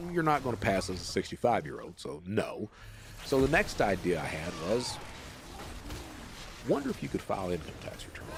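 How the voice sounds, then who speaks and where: A man's medium-pitched voice at a fairly quick pace, with very wide pitch swings, big swings in loudness and long, frequent pauses, amid noticeable background noise. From Eastern Kentucky. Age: 50s. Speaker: former fraudster telling his story. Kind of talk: long-form podcast interview. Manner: casual, matter-of-fact storytelling.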